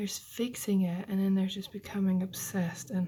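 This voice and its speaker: Soft-spoken, a woman talks at a moderate pace with a medium pitch. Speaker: beauty YouTuber. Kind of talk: casual makeup tutorial talk to camera.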